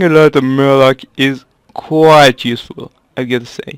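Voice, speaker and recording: Someone speaks at a moderate pace with a French accent. The sound is dry and close, with no echo. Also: man. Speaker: gaming video creator. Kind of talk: casual gameplay commentary.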